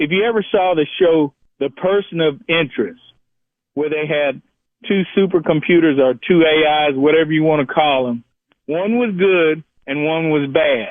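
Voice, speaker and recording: In an American accent, a man with an ordinary speaking voice and fairly high pitch talks at a moderate pace, with ordinary pitch variation. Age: 60s. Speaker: caller. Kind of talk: call-in radio talk.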